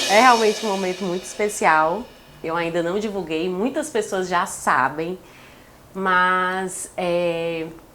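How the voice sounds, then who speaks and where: A woman at a medium pitch, very slow in pace, with ordinary pitch variation and music in the background. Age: 30s. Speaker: podcast guest announcing pregnancy. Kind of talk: casual chat. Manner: emotional.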